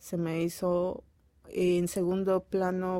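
Her tone dark and mellow, a woman speaks at a fairly low pitch with monotone, flat intonation. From Peru, Piura (northern coast). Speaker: childcare worker. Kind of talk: interview.

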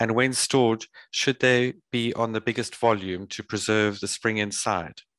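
In a plain, everyday voice, a man speaks with fairly even intonation in a dry, close sound with no echo over a quiet background. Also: medium pitch for a man, moderate pace. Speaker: webinar moderator. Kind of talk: webinar introduction and Q&A moderation.

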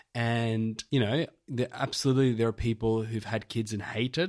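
In a very clean recording with a silent background, a man speaks with an Australian accent. His pitch is medium and his pace moderate. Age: 30s. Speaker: podcast host. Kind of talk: casual chat. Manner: animated.

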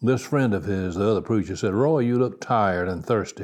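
A man's normal speaking voice, fairly low-pitched, with an American accent, a moderate pace and ordinary pitch variation. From US South (South Carolina, then Kentucky). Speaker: pastor. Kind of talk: sermon.

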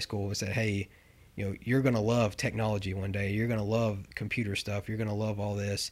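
Over a silent background on a very clean recording, a man with fairly low pitch speaks fairly quickly in a monotone, flat delivery. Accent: Southern US. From Tennessee. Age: 30s. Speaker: equipment rental analytics manager. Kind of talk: interview. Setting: in person at a rental branch.

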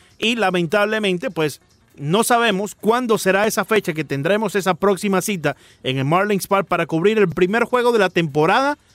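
Music plays in the background of a dry, close recording with no echo, where the voice has ordinary pitch variation. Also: man, high pitch for a man, moderate pace. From Miami. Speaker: sports radio host. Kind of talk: casual chat. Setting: studio.

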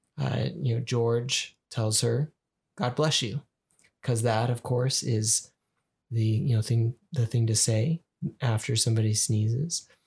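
A man's somewhat breathy, medium-pitched voice with an American accent, fairly even intonation and a fairly slow pace. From Utah. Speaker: podcast co-host. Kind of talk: casual chat.

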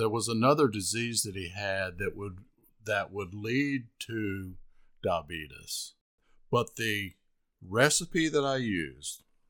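Speaking very slowly, a man uses a fairly low pitch and a bright, sharp tone. His intonation is lively. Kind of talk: casual chat.

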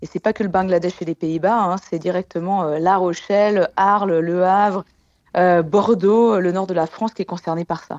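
A woman speaks with a plain, everyday voice at medium pitch. Her pace is moderate and her intonation fairly even. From Haute-Savoie, French Alps. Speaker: glaciologist. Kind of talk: radio interview.

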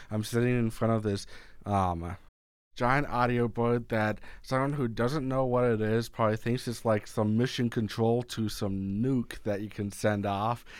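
A man speaks at a fairly slow pace in a plain, everyday voice of medium pitch, with fairly even intonation, on a very clean recording with a silent background. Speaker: podcast host. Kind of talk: casual interview. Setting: radio studio.

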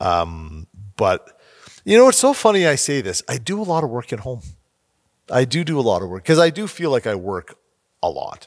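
A man with a Canadian accent and medium pitch, big swings in loudness, very wide pitch swings, a moderate pace and long, frequent pauses, on a very clean recording with a silent background. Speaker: podcast host. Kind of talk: interview. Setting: studio. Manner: animated, laughs often.

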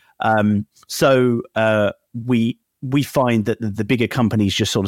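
A man with an unremarkable speaking voice talks at a fairly low pitch. The recording is very clean, with a silent background and a dry, close sound with no echo. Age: 30s. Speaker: startup founder. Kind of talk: interview.

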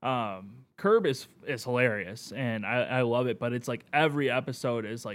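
A man with an American accent speaks in a normal speaking voice at medium pitch with ordinary pitch variation, recorded very cleanly against a silent background. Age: 20s. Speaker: podcast guest. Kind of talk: casual chat.

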